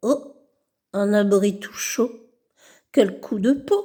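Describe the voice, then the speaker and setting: A put-on character voice at a very slow pace, with ordinary pitch variation. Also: woman, fairly high pitch for a woman. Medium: read story. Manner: gruff, pushy.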